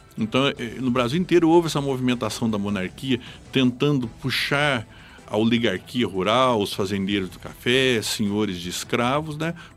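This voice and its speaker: Music runs in the background as a man of medium pitch speaks with ordinary pitch variation and big swings in loudness. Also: moderate pace. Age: 50s. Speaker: local historian. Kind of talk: radio interview. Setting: radio studio.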